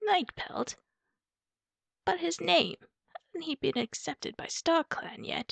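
In a put-on character voice, a woman speaks with an extremely high, raspy pitch at a fairly slow pace, leaving long, frequent pauses. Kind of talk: voice acting audition.

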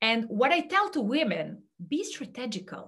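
Over a quiet background, a woman with a Serbian accent speaks very slowly in a fairly high pitch and a bright, sharp tone, her pitch swinging very widely. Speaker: career coach; speaker. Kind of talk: talk; presentation talk. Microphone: webcam.

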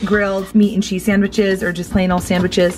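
Faint music can be heard in the background. Over it, a woman talks. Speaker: family vlogger. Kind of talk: casual vlog tutorial. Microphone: phone near.

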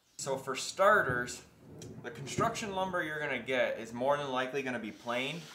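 There is audible room echo and light background noise as a man talks. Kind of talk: tutorial. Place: workshop.

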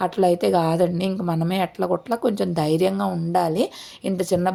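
A woman speaks in a fairly low voice with a dark, mellow tone. Her intonation is fairly even. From Chirala, coastal Andhra Pradesh. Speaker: family vlogger. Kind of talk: casual vlog narration.

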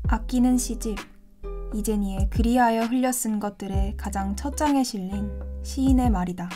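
Background music accompanies the clip. A woman's voice carries audible room echo. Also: moderate pace. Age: 20s. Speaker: university student narrator. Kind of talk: scripted narration.

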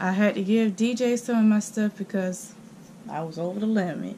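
The voice belongs to a woman. There is light noise behind her. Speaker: vlogger. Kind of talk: casual vlog chat. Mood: playful, laughing. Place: home room. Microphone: phone near.

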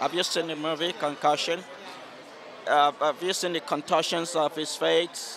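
Over noticeable background noise, a man with a fairly high pitch talks at a moderate pace with fairly even intonation, in a dry sound with no echo. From Nigeria. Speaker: doctor. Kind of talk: red carpet interview. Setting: red carpet at an awards event. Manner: halting. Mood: warm, enthusiastic. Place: street. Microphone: handheld.

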